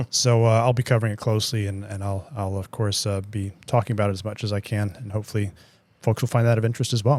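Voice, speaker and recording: A man with an American accent, fairly low in pitch, very fast, in a monotone, flat delivery, on a very clean recording with a silent background. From United States. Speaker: market strategist. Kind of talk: podcast discussion. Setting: studio. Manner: hesitant, many fillers.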